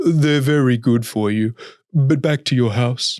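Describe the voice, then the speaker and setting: A man uses a put-on character voice at a medium pitch. His pace is fairly slow. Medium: read story. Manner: polite, exasperated.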